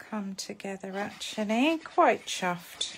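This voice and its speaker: A woman's medium-pitched voice with an English accent, very slow in pace and lively in intonation. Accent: posh, very proper English. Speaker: papercraft demonstrator. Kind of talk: live craft tutorial. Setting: Facebook live stream.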